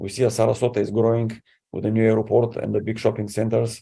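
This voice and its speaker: The speaker has a Bulgarian accent, a dark, mellow tone and monotone, flat intonation. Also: man. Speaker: city council candidate. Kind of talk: candidate interview.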